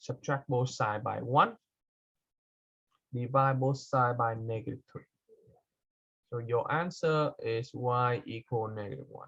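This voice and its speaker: A man speaks at medium pitch with fairly even intonation and a fairly slow pace. Long, frequent pauses and big swings in loudness run through his delivery. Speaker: math teacher. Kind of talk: lecture.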